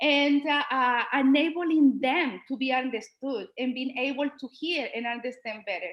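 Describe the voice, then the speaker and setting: A woman speaks in a high pitch with a Spanish accent. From Colombia. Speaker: Spanish teacher. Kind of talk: presentation at an online school board meeting. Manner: halting, with fillers.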